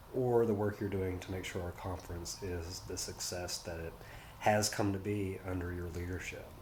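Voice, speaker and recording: Soft-spoken and very deep, a man's low voice comes with audible room echo and noticeable background noise. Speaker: nonprofit executive. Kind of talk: farewell message. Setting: office.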